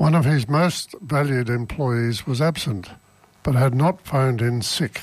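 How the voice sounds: What is heard here is a natural reading voice.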